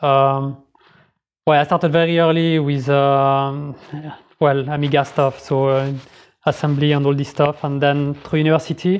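A man at a fairly high pitch, monotone, with flat intonation. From Geneva, Switzerland. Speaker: software developer. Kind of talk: casual interview. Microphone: slightly crackly track.

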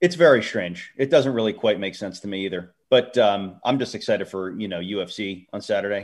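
With an American accent and a normal speaking voice, a man talks at a fairly quick pace and fairly low pitch, with ordinary pitch variation, big swings in loudness and a quiet background. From Philadelphia. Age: 30s. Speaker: wrestling podcast co-host. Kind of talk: casual chat.

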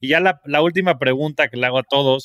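A man talking at a very fast pace. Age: 30s. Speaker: podcast host. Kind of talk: interview.

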